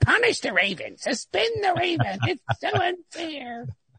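A whiny, high-pitched put-on character voice at a moderate pace. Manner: whining, complaining.

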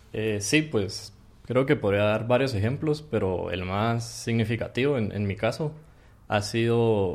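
In a normal speaking voice, a man talks fairly slowly at a medium pitch with ordinary pitch variation. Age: 20s. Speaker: computer science student. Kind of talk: interview.

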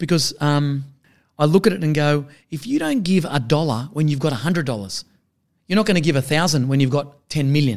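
Speaking at a fairly quick pace, a man has an unremarkable speaking voice, a fairly high pitch and ordinary pitch variation. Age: 40s. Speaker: accountant and business advisor. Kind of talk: podcast interview.

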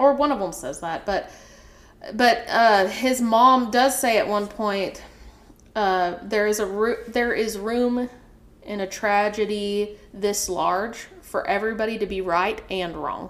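A woman speaks at a fairly slow pace. Her pitch sits in the medium range, with ordinary pitch variation.

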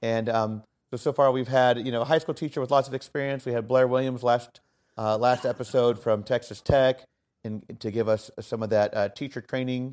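This man has a normal speaking voice at a medium pitch, moving at a moderate pace. His intonation is fairly even, and the recording is very clean with a silent background. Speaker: podcast host and orchestra teacher. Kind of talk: casual interview. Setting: hotel room at conference in Chicago.

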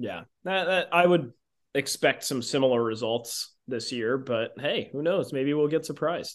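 Fairly high in pitch, a man speaks in a plain, everyday voice at a moderate pace. His pitch variation is ordinary, and the background is quiet. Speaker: podcast host. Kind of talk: casual sports and beer chat.

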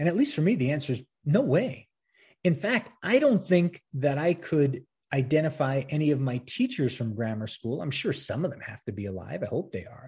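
Over a quiet background, a man speaks at a moderate pace in a fairly high, somewhat breathy voice. His pitch swings very widely, and his loudness shifts a great deal. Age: 50s. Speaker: history podcast host. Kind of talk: solo commentary podcast. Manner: casual, conversational with laughs.

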